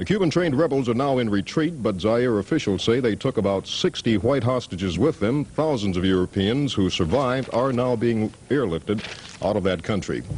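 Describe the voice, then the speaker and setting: The speech moves at a fairly quick pace with lively intonation and very even loudness over noticeable background noise. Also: man, medium pitch for a man. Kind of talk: TV news read.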